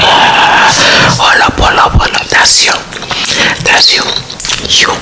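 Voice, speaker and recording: Against noticeable background noise, a woman is whispering. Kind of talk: ASMR whispered gossip talk to camera. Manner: whispered, up-close, intimate.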